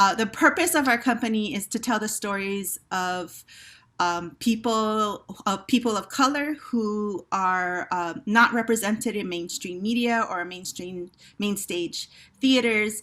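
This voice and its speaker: A woman with a Hawaiian accent, fairly high pitch, bright, sharp tone, ordinary pitch variation and a fairly slow pace, in a very clean recording with a silent background. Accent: Hawaii English. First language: Hawaiian Pidgin. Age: 50s. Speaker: theater company director. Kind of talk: panel discussion. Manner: hesitant, many fillers.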